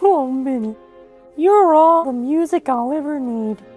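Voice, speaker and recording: A female-sounding, cartoonish character voice speaks in a cheerful tone at a fairly slow pace. Faint music plays in the background. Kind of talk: cartoon fandub. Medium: fan dub. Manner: cheerful, affectionate. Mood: tender, affectionate.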